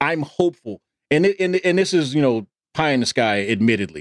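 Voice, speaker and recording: A man speaks in a plain, everyday voice. His intonation is lively and his pace fairly quick. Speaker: podcast co-host. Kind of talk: casual sports chat.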